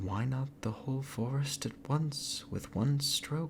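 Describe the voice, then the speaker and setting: Soft-spoken and somewhat breathy, a man with a fairly high pitch speaks at a very slow pace with ordinary pitch variation. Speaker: storyteller. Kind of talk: fairy tale read aloud.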